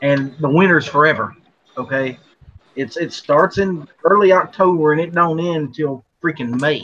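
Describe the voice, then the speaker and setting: A man talks at a moderate pace with ordinary pitch variation. His voice is fairly high-pitched for a man, with a bright, sharp tone. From West Virginia. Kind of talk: casual chat.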